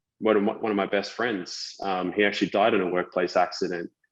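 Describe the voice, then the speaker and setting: A man with an Australian accent talks in a quiet setting. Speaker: tech company founder, former civil engineer. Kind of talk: podcast interview. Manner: halting, many fillers and repetitions.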